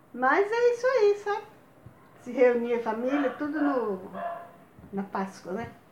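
Amid noticeable background noise, a woman speaks at a high pitch with very wide pitch swings, a fairly slow pace and long, frequent pauses. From Bahia, Brazil. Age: old. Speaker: grandmother telling life stories. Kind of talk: casual chat.

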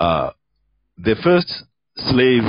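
A man with a Sudanese accent and lively intonation. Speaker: debate moderator. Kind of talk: heated debate.

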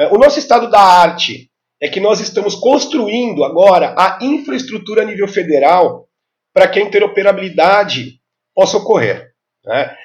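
Lively in intonation, a man speaks at a moderate pace and a high pitch. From Brazil, São Paulo metro area (ABC region). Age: 50s. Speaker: health IT specialist. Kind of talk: podcast interview.

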